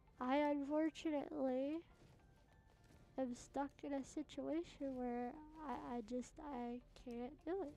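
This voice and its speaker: Over background music, a woman with a high pitch speaks at a fairly slow pace, leaving long, frequent pauses. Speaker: gaming streamer. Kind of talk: live gameplay commentary. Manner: soft-spoken; halting.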